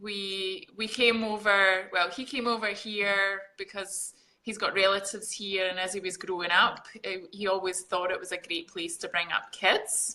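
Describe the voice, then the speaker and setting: A woman with a Scottish accent speaks at medium pitch in a bright, sharp tone, with fairly even intonation and hardly any pauses. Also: moderate pace. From Scotland, Glasgow. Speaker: fitness coach. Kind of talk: casual interview.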